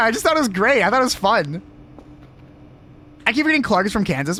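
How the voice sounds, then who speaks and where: Noticeable background noise underlies speech with an animated tone. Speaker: gaming streamer. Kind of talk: live stream chat. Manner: stuttering a little.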